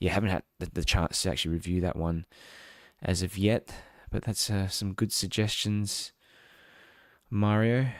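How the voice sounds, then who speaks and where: A man with an Australian accent, fairly low-pitched, at a moderate pace with fairly even intonation and long, frequent pauses, on a very clean recording with a silent background and a dry, close sound with no echo. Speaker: tech reviewer, live streamer. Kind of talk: live stream unboxing and chat. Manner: casual, hesitant with fillers.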